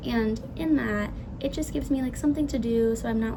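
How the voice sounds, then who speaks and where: A woman speaks at a fairly quick pace. Noticeable background noise and audible room echo surround her voice. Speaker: student giving a class presentation. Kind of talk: class presentation. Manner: fast.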